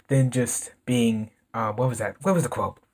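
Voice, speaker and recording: A somewhat breathy man at a moderate pace against a quiet background. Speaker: reaction video host. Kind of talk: casual reaction commentary. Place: home room.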